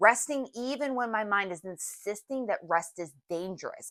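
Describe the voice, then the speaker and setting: In an unremarkable speaking voice, a woman speaks at medium pitch and a fairly slow pace with lively intonation, on a very clean recording with a silent background and a dry, close sound with no echo. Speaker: wellness podcast host. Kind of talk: reflective monologue.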